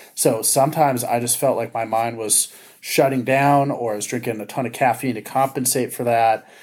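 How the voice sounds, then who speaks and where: A man talks at a fairly quick pace in a normal speaking voice. He has an American accent and fairly even intonation. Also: medium pitch for a man. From Southern California, Ventura County. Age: 30s. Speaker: education policy advocate and trainer. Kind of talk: interview conversation.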